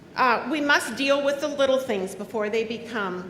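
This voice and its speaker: The speech moves at a moderate pace amid audible room echo and noticeable background noise. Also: woman. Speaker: union president. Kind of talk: convention speech. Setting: stage with audience. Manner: loud; animated.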